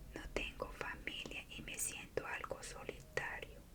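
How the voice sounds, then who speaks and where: A woman whispers at a very slow pace over noticeable background noise. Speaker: ASMR creator. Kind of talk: bedtime story reading. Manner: whispered.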